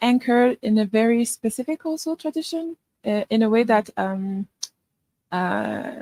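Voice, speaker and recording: At a very slow pace, a woman with a Quebec accent speaks in a fairly high pitch with a dark, mellow tone, the sound dry and close with no echo. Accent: Quebecois. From Quebec, Canada. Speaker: filmmaker. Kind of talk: workshop Q&A. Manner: halting.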